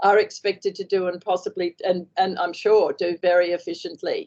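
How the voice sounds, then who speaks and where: A woman with an Australian accent speaks in a medium pitch with a dark, mellow tone and monotone, flat intonation. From Australia, Queensland. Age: 70s. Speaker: author, former station wife and nurse. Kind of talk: interview. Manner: halting, many fillers.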